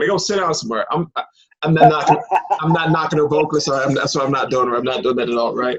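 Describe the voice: A man talks fast with a slightly husky edge and a fairly high pitch. His pitch varies in an ordinary way.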